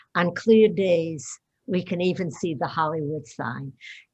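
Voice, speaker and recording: A woman speaks with lively intonation and a somewhat breathy quality. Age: 80s+. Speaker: retirement community resident. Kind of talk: panel discussion.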